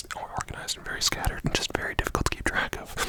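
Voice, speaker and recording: A man whispers at a very fast pace. Noticeable background noise is present. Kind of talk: ASMR video, casual talk to camera. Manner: fast, rambling, spontaneous.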